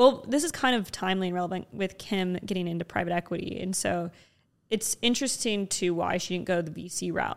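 A woman's plain, everyday voice at a medium pitch and a fairly quick pace, with ordinary pitch variation in a very clean recording with a silent background. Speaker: podcast host. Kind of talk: casual interview chat. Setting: in-person studio.

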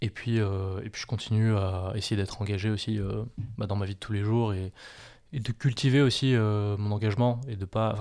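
A man's fairly low, fairly evenly intoned voice is heard on a very clean recording with a silent background. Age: 20s. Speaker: aspiring gendarme, former student entrepreneur. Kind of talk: interview. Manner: halting, many repetitions and fillers.

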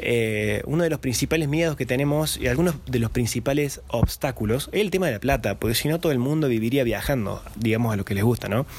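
Very fast and with hardly any pauses, a man talks at a medium pitch with ordinary pitch variation and very even loudness over noticeable background noise. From Argentina, Córdoba. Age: 20s. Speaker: podcaster and travel YouTuber. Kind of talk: solo podcast monologue. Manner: casual, many filler hesitations.

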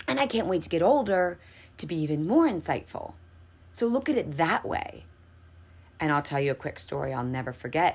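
Speaking at a fairly quick pace, a woman with a fairly low voice swings very widely in pitch and leaves long, frequent pauses. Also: very clean recording, silent background. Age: 30s. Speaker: podcast host and hairstylist. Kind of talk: motivational monologue. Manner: casual, chatty.

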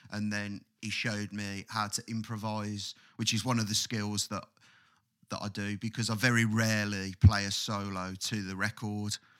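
A man speaks in a flat monotone with an English accent, his pitch fairly low, at a moderate pace. The recording is very clean with a silent background. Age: 20s. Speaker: podcast co-host and guitarist. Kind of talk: casual chat.

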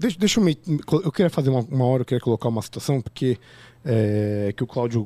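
The recording is very clean and the background silent. A man's voice comes through with a dark, mellow tone. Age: 30s. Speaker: podcast host. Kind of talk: casual chat.

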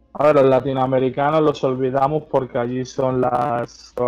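A man's monotone, flat delivery at a medium pitch and fairly slow pace, with noticeable background noise. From Madrid, Spain (Parla). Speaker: freestyle rapper. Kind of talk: casual chat. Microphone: poor microphone sound.

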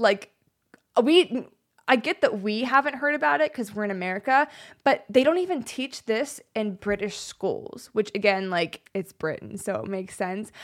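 Her tone is animated, with very wide pitch swings as this woman speaks. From United States. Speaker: podcast co-host. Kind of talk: storytelling history lesson.

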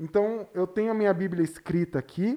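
Moderately paced speech from a man with a high pitch and a dark, mellow tone. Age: 30s. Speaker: pastor. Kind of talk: casual chat.

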